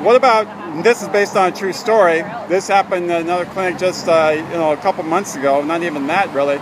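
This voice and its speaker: With noticeable background noise, a man talks at a very fast pace and high pitch, with ordinary pitch variation and hardly any pauses. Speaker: pro-life activist filming street confrontations. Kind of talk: street confrontation questioning. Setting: outdoors on street outside a clinic. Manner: loud; halting, many fillers.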